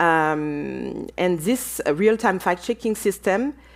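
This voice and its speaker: In a French accent, a woman talks at a medium pitch with ordinary pitch variation. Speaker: panelist on business and democracy. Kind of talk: conference panel talk. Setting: auditorium with audience and online viewers. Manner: halting, many fillers.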